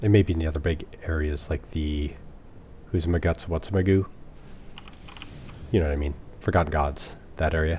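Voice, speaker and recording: Soft-spoken and very deep, a man talks at a fairly quick pace with ordinary pitch variation and long, frequent pauses. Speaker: gaming let's play streamer. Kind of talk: casual gameplay commentary. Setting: home recording at night. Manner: soft-spoken, talking quietly.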